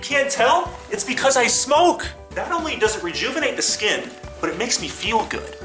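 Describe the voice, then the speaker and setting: Clear music in the background behind a man speaking at a fairly quick pace. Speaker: comic infomercial host. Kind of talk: comedy parody infomercial. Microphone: phone near.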